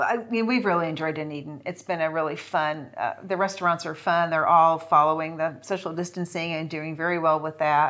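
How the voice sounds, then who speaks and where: A woman with an American accent uses an ordinary speaking voice, fairly low in pitch, talking at a fairly quick pace with fairly even intonation and hardly any pauses. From New Jersey. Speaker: retiree. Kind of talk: casual interview.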